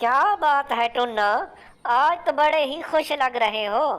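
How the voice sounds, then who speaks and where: This female-sounding cartoonish character voice is high-pitched and moves at a moderate pace. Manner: haughty, commanding.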